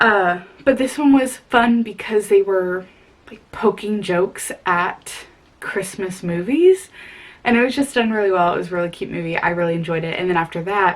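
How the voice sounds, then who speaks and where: A woman speaks at a medium pitch and a moderate pace, with ordinary pitch variation and big swings in loudness. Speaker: book vlogger. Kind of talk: casual vlog. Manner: rambling, chatty.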